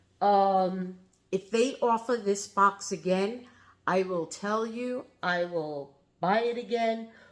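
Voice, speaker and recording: Speaking very slowly with a New York accent, the voice shows ordinary pitch variation. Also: woman, medium pitch for a woman. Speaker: reseller and haul vlogger. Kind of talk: casual product showcase vlog. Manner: casual, chatty with fillers.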